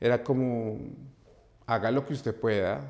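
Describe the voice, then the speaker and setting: A man with a Bogotá accent, medium pitch, ordinary pitch variation and a moderate pace. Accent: Bogotá Colombian Spanish. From Colombia, Bogotá. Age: 40s. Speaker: dance teacher. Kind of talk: interview. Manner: halting, repeats words.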